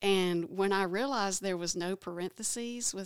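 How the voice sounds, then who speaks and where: Here a woman speaks at medium pitch with an Alabama accent. Her pace is moderate and her intonation fairly even. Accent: Alabama Southern. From Alabama, small town. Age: 50s. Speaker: abortion recovery class facilitator. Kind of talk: testimony.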